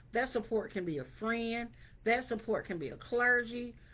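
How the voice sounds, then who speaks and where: The pace is fairly slow. The speaker uses an ordinary speaking voice. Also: woman. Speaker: wellness vlogger. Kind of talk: motivational talk to camera. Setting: video to camera.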